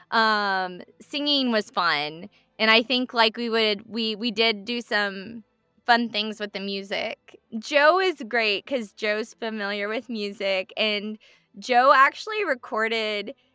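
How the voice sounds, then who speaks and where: Over music in the background, a woman with a fairly high pitch and ordinary pitch variation speaks at a very slow pace, the sound dry and close with no echo. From Texas. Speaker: voice actor. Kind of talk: interview.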